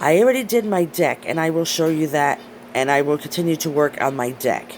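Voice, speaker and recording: Noticeable background noise sits behind a woman's voice. Her pitch is very deep and low, with very wide swings. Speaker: hobby vlogger, pet keeper. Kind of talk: casual vlog tutorial. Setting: at home. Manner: hesitant with fillers.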